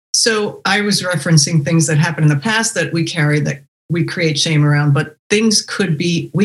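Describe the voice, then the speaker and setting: Somewhat breathy and very deep, a woman's low-pitched voice moves at a moderate pace with ordinary pitch variation. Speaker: podcast host. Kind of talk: interview chat.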